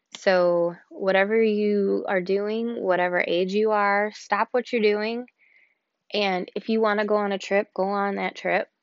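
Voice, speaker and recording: At a fairly slow pace, a woman speaks in a medium pitch with monotone, flat intonation. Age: 40s. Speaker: podcast host, sales team manager. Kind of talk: casual solo podcast monologue. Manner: casual, many filler words (um).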